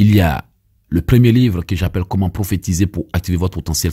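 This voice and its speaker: Speaking very fast with an Ivorian accent, a man uses a very deep, low voice with a dark, mellow tone and a somewhat breathy quality, in a very clean recording with a silent background and a dry, close sound without echo. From Ivory Coast. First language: Abé (speaking French). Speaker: evangelist preacher. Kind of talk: sermon and teaching with prayers.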